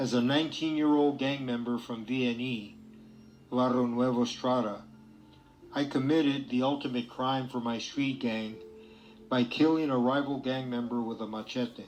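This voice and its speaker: With an American accent, a man speaks at a moderate pace and medium pitch, his intonation fairly even, while music plays behind him and room echo is audible. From East Los Angeles, US. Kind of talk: testimony.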